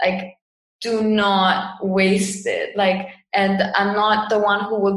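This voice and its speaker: A woman's flat, monotone delivery in a Cypriot accent, with audible room echo. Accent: Cypriot Greek English. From Cyprus. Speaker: yoga teacher and online marketer. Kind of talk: casual interview.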